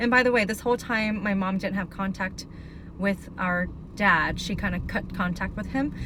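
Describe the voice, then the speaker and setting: A woman speaks in a medium-pitched voice with an American accent and ordinary pitch variation. Audible room echo surrounds her. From Northern California, Sacramento area. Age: 30s. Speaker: abuse survivor mentor, video blogger. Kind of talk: personal testimony. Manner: casual, halting with fillers.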